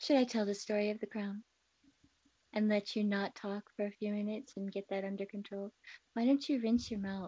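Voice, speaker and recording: A woman with an American accent speaks at a fairly quick pace in a medium pitch, her dark, mellow tone somewhat breathy and her intonation fairly even, recorded with a dry, close sound and no echo. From US Midwest, Wisconsin. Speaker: podcast co-host. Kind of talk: casual chat. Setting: live video stream.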